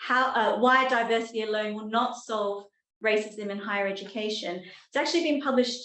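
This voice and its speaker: Audible room echo accompanies a woman with an Australian accent, who speaks at a moderate pace with a fairly high pitch and ordinary pitch variation. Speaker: professor. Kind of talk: lecture. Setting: talk with live and online audience.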